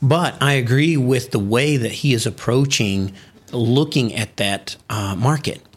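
Lively intonation marks this man's delivery. He has a normal speaking voice at medium pitch. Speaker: business founder. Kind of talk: interview. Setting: studio office in China.

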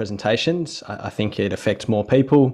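A man is speaking. He has an Australian accent. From Western Australia, Perth Hills. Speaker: physiotherapist and researcher. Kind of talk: interview conversation.

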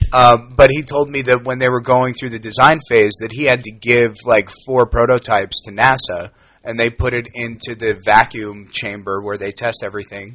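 At a moderate pace with hardly any pauses, a man speaks at medium pitch in a bright, sharp tone with fairly even intonation and big swings in loudness, on a very clean recording with a silent background. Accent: American. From New York. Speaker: musician. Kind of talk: casual chat.

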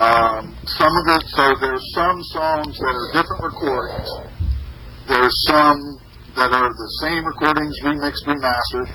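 Noticeable background noise sits behind the speech. The pace is moderate and the intonation fairly even. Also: man, fairly high pitch for a man. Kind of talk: jokey station-ID bits, then casual interview chat. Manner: playful, joking, swearing, laughing between retakes.

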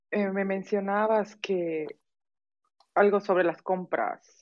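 Fairly even intonation in a woman's voice at a medium pitch. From Mexico, Yucatán (Mérida). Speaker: podcast host. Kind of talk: casual interview.

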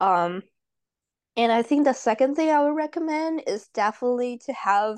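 A woman speaks in a Chinese accent with very wide pitch swings. The background is quiet. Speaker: international student, advisory board member. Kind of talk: casual interview.

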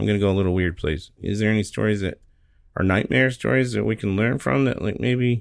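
With lively intonation and very even loudness, a man talks fairly quickly in an unremarkable speaking voice pitched fairly low. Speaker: podcast co-host. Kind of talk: casual chat. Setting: studio.

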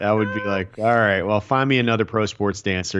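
Over noticeable background noise, a man speaks at a fairly quick pace with a fairly low pitch and fairly even intonation. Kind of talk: casual chat. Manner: halting, filler-heavy.

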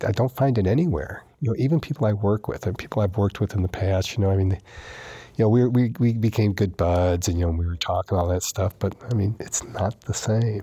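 Speaking with an American accent, a man has a fairly low pitch, ordinary pitch variation and a dark, mellow, somewhat breathy tone. His pace is fairly quick, and the sound is dry and close with no echo. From New York. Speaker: recovering alcoholic. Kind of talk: testimony.

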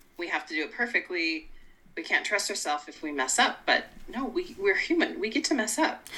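Speaking at a fairly quick pace, a woman with an American accent has a fairly high, bright, sharp voice with vocal fry. Her pitch makes very wide swings. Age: 50s. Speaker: life coach and podcast host. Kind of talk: casual chat.

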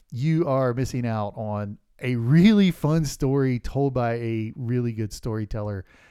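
A medium-pitched man with a dark, mellow tone, fairly slow pace, ordinary pitch variation and hardly any pauses, in a very clean recording with a silent background. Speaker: podcast host; hunter. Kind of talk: casual chat.

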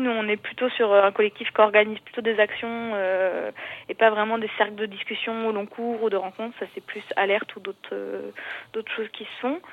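A woman with an unremarkable speaking voice talks at a moderate pace, her fairly high pitch carried on fairly even intonation. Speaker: collective farm member. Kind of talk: casual chat. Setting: phone call. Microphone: landline phone.

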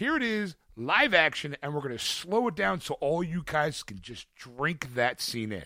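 With a Philadelphia accent, a man talks at a fairly slow pace in a fairly high, bright and sharp voice, with very wide pitch swings, big swings in loudness, an animated tone and hardly any pauses, all in a dry, close sound with no echo. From US Northeast, Philadelphia.

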